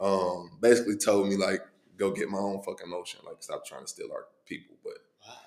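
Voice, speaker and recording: A man with an American accent speaks with big swings in loudness. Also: fairly quick pace. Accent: Midwestern US, urban vernacular. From Cincinnati, Ohio (east side). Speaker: rapper. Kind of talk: casual chat.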